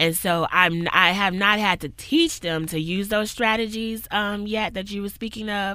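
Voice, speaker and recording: A loud, bright, sharp voice at a moderate pace, with ordinary pitch variation and hardly any pauses. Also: woman, medium pitch for a woman. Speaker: community worker and professor. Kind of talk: casual interview conversation. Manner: loud, outgoing.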